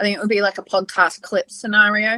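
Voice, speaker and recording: Dry and close with no echo, a woman's bright, sharp tone comes through with an Australian accent. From Western Australia. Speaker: podcast co-host. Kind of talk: casual chat.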